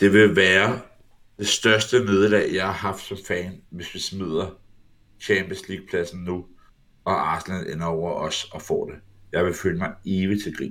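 A man speaks with a very deep, low pitch and fairly even intonation. His pace is fairly slow, and his loudness swings widely. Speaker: football podcast co-host. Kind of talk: casual chat.

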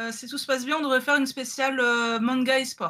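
Raising and projecting her voice, a woman speaks high in pitch with a bright, sharp tone and fairly even intonation. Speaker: podcast host. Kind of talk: casual chat. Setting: video call over Discord.

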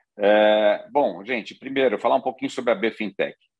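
A man's plain, everyday voice, fairly low-pitched, with ordinary pitch variation and a fairly quick pace. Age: 50s. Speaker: financial industry executive and board advisor. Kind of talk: conference talk.

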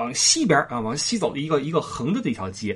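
In a Beijing accent, a man talks at a very fast pace with a fairly high pitch, vocal fry and very wide pitch swings. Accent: Beijing Mandarin with erhua. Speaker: podcast host. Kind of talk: casual monologue.

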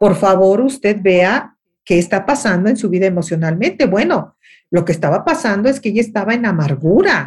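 Somewhat breathy, a woman with a medium pitch speaks with lively intonation. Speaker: radio and TV host, life coach. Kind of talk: interview conversation.

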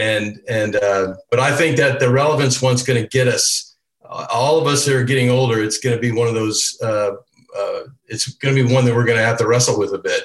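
At a fairly quick pace, a man speaks in a normal speaking voice at medium pitch with fairly even intonation. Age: 60s. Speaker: church elder panelist. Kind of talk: casual panel discussion.

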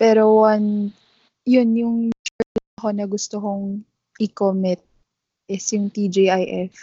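Somewhat breathy, a woman speaks at a very slow pace in a monotone, flat intonation, with long, frequent pauses. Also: medium pitch for a woman. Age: 20s. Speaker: podcast co-host and physical therapist. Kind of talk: casual chat.

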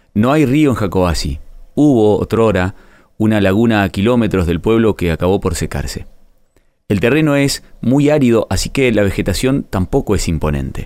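A man with an unremarkable speaking voice, fairly low in pitch, lively in intonation, very even in loudness, at a moderate pace. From Argentina (Río Negro, Patagonia). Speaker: writer narrating a personal story. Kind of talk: scripted narration.

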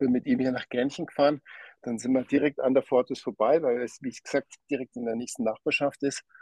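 With an ordinary speaking voice, a man of medium pitch talks at a moderate pace with fairly even intonation in a dry, close sound with no echo. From Lower Bavaria, Germany. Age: 40s. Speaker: watch company owner. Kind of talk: interview.

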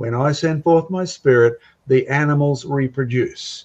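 In an Australian accent, a man talks at a moderate pace in a dark, mellow tone with ordinary pitch variation. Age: 70s. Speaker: creationist speaker. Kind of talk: casual panel discussion. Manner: animated.

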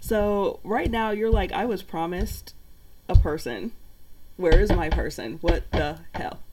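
A woman speaks at a fairly slow pace. Her loudness swings widely. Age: 40s. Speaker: digital marketer and card reader. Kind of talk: casual chat with card reading.

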